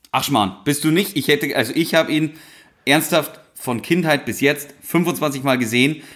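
At a fairly slow pace, a man uses an ordinary speaking voice, fairly high in pitch with ordinary pitch variation. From rural Upper Bavaria. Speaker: podcast co-host. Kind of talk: casual chat.

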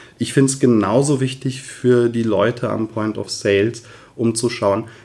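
A man at a moderate pace, a plain, everyday voice. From Westerwald, Germany. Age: 40s. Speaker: voice coach and former opera singer. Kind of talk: interview. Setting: office.

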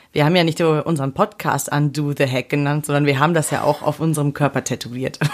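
A woman's very deep, low voice at a very fast pace with hardly any pauses, fairly even intonation, and noticeable background noise. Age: 20s. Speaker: podcast co-host. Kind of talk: casual chat.

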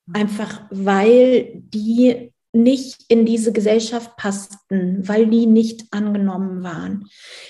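At a very slow pace, a woman speaks in a somewhat breathy, dark, mellow tone with a fairly high pitch and monotone, flat intonation. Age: 40s. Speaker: human design coach for parents. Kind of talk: interview.

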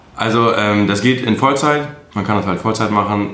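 A man's fairly low-pitched voice with ordinary pitch variation, audible room echo and noticeable background noise. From Münsterland, north-west Germany. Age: 20s. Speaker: truck driver. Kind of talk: interview.

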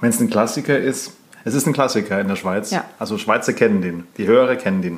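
A man speaks in a plain, everyday voice at a fairly quick pace. His pitch is medium, with ordinary pitch variation. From Germany. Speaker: podcast co-host. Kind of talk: casual chat.

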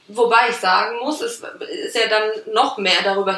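At a moderate pace, a woman speaks with noticeable background noise behind her. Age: 20s. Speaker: logistics worker and project initiator. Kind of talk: casual interview. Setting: studio, in person.

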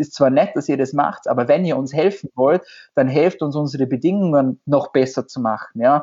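In a normal speaking voice, a man talks at a moderate pace and fairly high pitch with ordinary pitch variation. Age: 20s. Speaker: nurse. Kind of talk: interview.

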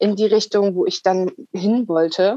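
In an unremarkable speaking voice of medium pitch, a woman talks at a fairly slow pace with ordinary pitch variation, recorded with a dry, close sound and no echo. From northern Germany, Wilhelmshaven. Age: 30s. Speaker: coach. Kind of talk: interview.

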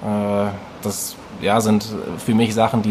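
A man speaks in a flat monotone at a fairly low pitch, with noticeable background noise behind him. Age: 20s. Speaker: fitness coach. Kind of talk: interview conversation.

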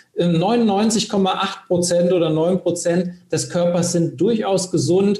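Against noticeable background noise, a man with a high voice speaks at a very slow pace and very even loudness. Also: fairly even intonation. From Hesse, Germany (Bad Homburg, Frankfurt area). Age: 40s. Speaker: career and sales coach. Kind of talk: podcast interview.

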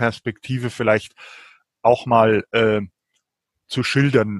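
A man's voice at a very slow pace, monotone and flat, in a dry, close sound with no echo. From rural Germany, village farming milieu. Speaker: novelist and translator. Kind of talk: interview conversation. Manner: hesitant, many fillers.

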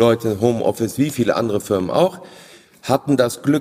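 Noticeable background noise sits behind this recording. A man speaks at a medium pitch and a fairly quick pace. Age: 40s. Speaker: family business owner. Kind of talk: interview. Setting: company premises.

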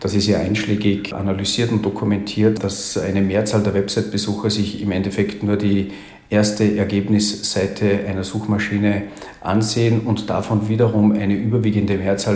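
A fairly low-pitched man with a slight Austrian accent and monotone, flat intonation, amid audible room echo and noticeable background noise. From Austria, Salzburg. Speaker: agency founder and IT consultant. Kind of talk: interview.

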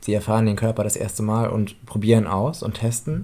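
On a very clean recording with a silent background, a man talks at a fairly quick pace in a medium pitch with a dark, mellow tone. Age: 20s. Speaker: podcast co-host and daycare educator. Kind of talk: casual chat.

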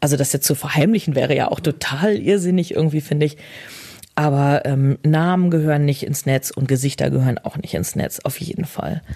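A woman talks at a fairly quick pace in a very deep, low pitch. Noticeable background noise is present. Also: ordinary pitch variation. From Germany, Bielefeld. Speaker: social media user. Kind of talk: interview. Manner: straight but emotional.

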